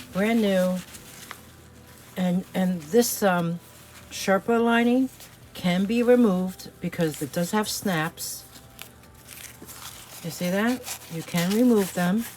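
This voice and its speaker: At a very slow pace with long, frequent pauses, a woman speaks with an American accent and a medium pitch. Her pitch varies in an ordinary way, and there is noticeable background noise. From New York City. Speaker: online reseller. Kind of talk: product showcase video; channel outro. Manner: casual, chatty with fillers.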